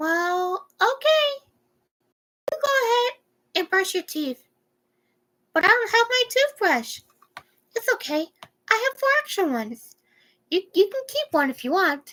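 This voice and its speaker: In a squeaky put-on character voice, a woman speaks at an extremely high pitch with very wide pitch swings, a moderate pace, and long, frequent pauses. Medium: read story.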